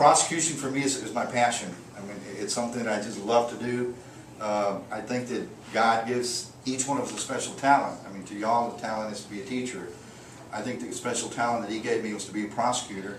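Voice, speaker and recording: With an American accent, a man speaks very fast at a medium pitch, his intonation fairly even and his loudness swinging widely, over noticeable background noise and audible room echo. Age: 60s. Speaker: political candidate, prosecutor. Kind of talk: campaign speech. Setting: private home gathering. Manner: casual, conversational with fillers.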